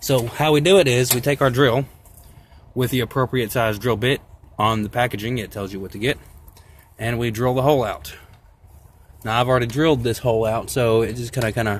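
A man with ordinary pitch variation, dry sound with no echo, and noticeable background noise. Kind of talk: tutorial. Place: open country.

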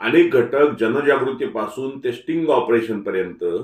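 Natural reading voice throughout

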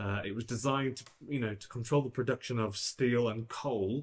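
A man talks at a moderate pace in a somewhat breathy voice with fairly even intonation. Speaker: EV channel host. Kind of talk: explainer commentary to camera. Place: studio.

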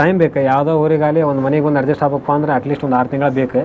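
Noticeable background noise runs through this clip. A man speaks at a fairly high pitch. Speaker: bull owner. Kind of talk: casual interview.

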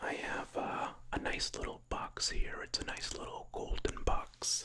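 A man whispers in a soft-spoken way at a fairly slow pace, with light background noise. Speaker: ASMR creator. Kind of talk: soft-spoken ASMR chat. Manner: soft close-mic ASMR whisper. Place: home room. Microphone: studio mic.

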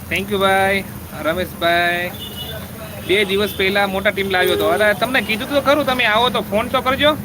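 A high-pitched male voice with ordinary pitch variation, over noticeable background noise. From Gujarat, Saurashtra (village near Limbdi). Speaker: vlogger live-streaming. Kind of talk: live-stream chat reading viewer comments.

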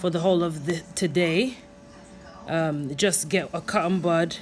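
A woman's fairly low voice with ordinary pitch variation and faint music in the background. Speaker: vlogger. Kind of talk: casual tutorial vlog chat. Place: home room. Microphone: phone near.

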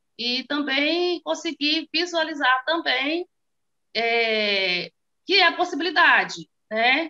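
Against a quiet background, a woman uses a raised, projected voice with a bright, sharp tone, high pitch and lively intonation, speaking at a very slow pace. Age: 40s. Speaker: small business owner, course student. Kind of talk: testimony. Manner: halting, many fillers. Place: home room. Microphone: phone near.

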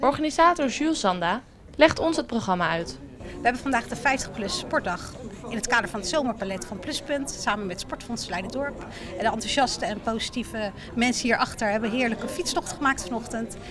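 Over noticeable background noise, a woman speaks with fairly high pitch and lively intonation. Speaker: event organiser. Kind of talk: casual interview. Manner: halting. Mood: upbeat, friendly. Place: cafe. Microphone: handheld.

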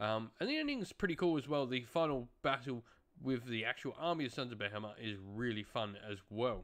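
With big pitch swings and a fairly bright tone, a man speaks at a medium pitch and a fairly quick pace.

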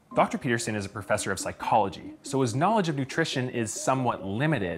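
A man talks at a very fast pace while light background noise plays behind him. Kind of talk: scripted explainer commentary. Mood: playful, smiling. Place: home room.

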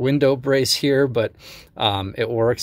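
Speaking fairly slowly with ordinary pitch variation, a man is heard in a dry sound with no echo. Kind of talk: tutorial. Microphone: phone near.

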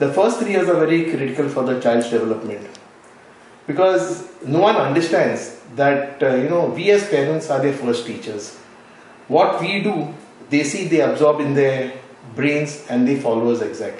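There is audible room echo as a man with a fairly high pitch speaks at a moderate pace. His intonation is lively. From Goa, India. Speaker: NGO founder, retired sea captain. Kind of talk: interview. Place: home room.

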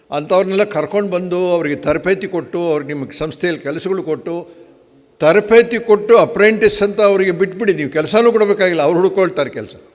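Noticeable background noise sits behind this man. He has a high pitch with ordinary pitch variation. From Karnataka, Hassan district (Arkalgud). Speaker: hotel executive. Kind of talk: conference speech. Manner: halting.

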